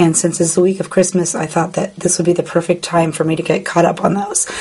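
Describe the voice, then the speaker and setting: A woman talks at a medium pitch, with noticeable background noise around her voice. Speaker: paper craft tutorial host. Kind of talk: tutorial. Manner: casual, chatty.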